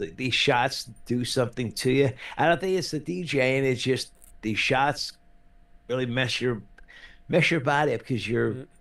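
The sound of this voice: Using a raspy, put-on character voice at medium pitch, a man speaks at a moderate pace with long, frequent pauses against a quiet background.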